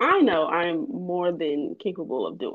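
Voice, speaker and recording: A woman speaks in a normal speaking voice at medium pitch with ordinary pitch variation. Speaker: podcast co-host. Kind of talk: casual group discussion, faith-based.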